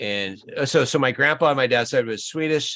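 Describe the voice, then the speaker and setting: This speaker has an American accent, a bright, sharp tone and a moderate pace. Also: man. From northern Minnesota. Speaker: YouTube channel host. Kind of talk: casual chat.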